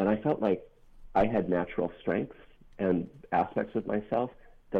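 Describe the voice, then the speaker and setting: A man speaks with an American accent at a fairly quick pace. His pitch is fairly low, with ordinary variation. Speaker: author and activist. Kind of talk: interview about a book, with a reading.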